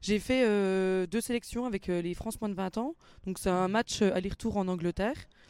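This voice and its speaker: At a moderate pace, a woman speaks with medium pitch and ordinary pitch variation in a normal speaking voice. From Franche-Comté, Doubs (Mont-Benoît). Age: 20s. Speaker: rugby player and student. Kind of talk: interview. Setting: rugby stadium.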